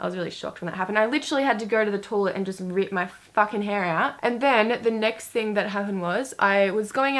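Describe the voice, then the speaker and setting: In an animated tone, a woman with a fairly high pitch speaks at a fairly quick pace. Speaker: beauty youtuber. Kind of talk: casual chat.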